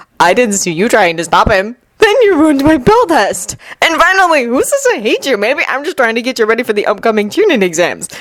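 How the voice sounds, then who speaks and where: A woman does a breathy, high-pitched put-on character voice at a fairly quick pace, with very wide pitch swings. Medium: read story. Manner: airy, dry.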